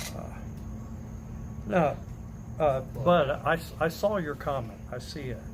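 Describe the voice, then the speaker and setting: A man's fairly high, ordinarily varied pitch at a fairly slow pace, with long, frequent pauses, big swings in loudness and audible room echo. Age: 50s. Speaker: livestreamer. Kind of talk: casual chat.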